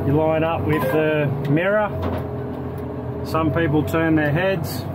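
The pace is very slow. Loud background noise runs underneath. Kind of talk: casual commentary tour. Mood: relaxed, blunt humor. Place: car. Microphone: phone near.

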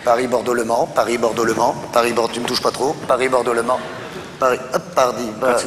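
Against noticeable background noise, a man talks at a fairly quick pace with medium pitch, fairly even intonation, and very even loudness. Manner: playful, testing audio.

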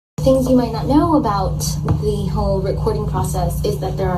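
There is loud noise in the background while a woman is talking. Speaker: actress sharing behind-the-scenes facts. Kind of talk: casual vlog chat. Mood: relaxed, cheerful. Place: home room. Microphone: phone near.

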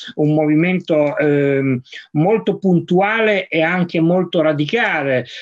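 Against a quiet background, a man speaks at a very slow pace in a fairly high voice with ordinary pitch variation. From Piedmont, Vercelli province; Piedmont. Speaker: science journalist. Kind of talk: moderated discussion. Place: office. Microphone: video call.

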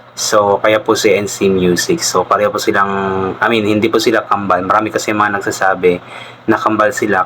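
Over noticeable background noise, a man speaks at a very fast pace with a fairly low pitch and monotone, flat intonation. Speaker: reaction video vlogger. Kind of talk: casual reaction commentary. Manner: polite, uses po.

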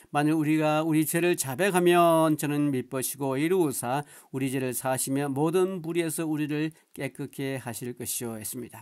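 A man's ordinary speaking voice at a fairly high pitch, with ordinary pitch variation and a moderate pace, on a very clean recording with a silent background. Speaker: pastor. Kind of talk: sermon.

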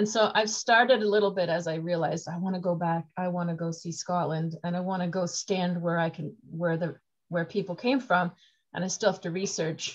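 A woman's somewhat breathy, fairly low voice at a fairly quick pace, set against a quiet background. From North America. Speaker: podcast host. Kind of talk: casual interview. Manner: enthusiastic. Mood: warm, enthusiastic. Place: home room. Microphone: video call.

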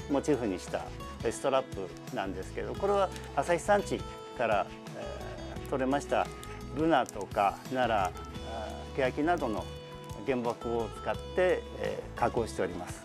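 Over clear background music, a man talks at a moderate pace, leaving long, frequent pauses. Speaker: employment support facility staff. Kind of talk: interview answer. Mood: calm, polite, friendly. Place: workshop.

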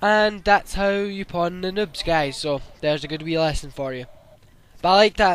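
His pitch is high for a man. He keeps to a medium tempo. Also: ordinary pitch variation. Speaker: gaming YouTuber. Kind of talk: gameplay commentary. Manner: casual, hesitant with fillers.

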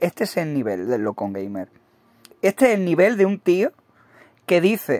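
Speaking at a moderate pace, a man with a high pitch and an animated tone makes very wide pitch swings, the sound dry and close with no echo. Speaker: gaming YouTuber. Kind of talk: mocking video commentary rant.

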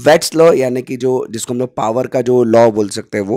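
With a dark, mellow tone and medium pitch, a man talks at a moderate pace with ordinary pitch variation in a dry, close sound with no echo. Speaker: electrical trainer. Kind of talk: tutorial.

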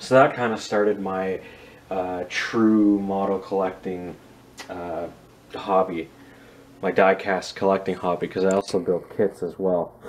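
A man's very deep, low voice at a fairly slow pace, monotone and flat, with long, frequent pauses. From Canada. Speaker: scale model reviewer and airport worker; scale model reviewer. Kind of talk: casual video review. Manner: casual, with many filler words. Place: home room. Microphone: phone near.

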